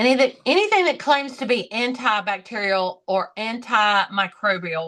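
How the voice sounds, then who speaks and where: In a Southern US accent, a woman with a fairly high pitch talks at a moderate pace in a bright, sharp tone, her intonation lively against a quiet background. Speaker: podcast co-host. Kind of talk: casual chat.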